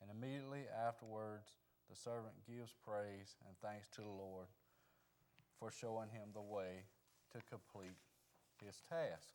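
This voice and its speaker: A soft-spoken man with a Southern US accent, fairly low pitch, fairly even intonation and a fairly slow pace broken by long, frequent pauses. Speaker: Sunday school teacher. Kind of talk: Bible lesson. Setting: church with microphone.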